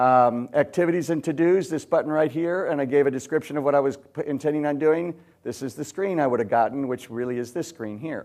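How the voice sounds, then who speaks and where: A man's voice at fairly high pitch, with ordinary pitch variation. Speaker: software entrepreneur giving a conference talk. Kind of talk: conference breakout presentation. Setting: stage with audience. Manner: fast; conversational, with many fillers and restarts.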